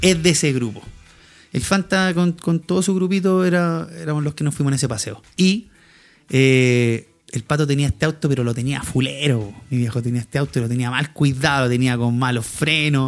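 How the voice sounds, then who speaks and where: A man with a Chilean accent speaks at a moderate pace, his fairly high voice full of lively intonation. The recording is very clean, with a silent background. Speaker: podcast co-host. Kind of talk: casual chat.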